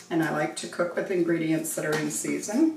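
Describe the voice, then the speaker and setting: A woman speaks with a Western Canadian accent. Audible room echo and noticeable background noise surround her. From western Canada (Golden, British Columbia). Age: 70s. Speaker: cooking channel host. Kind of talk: casual cooking tutorial with personal stories.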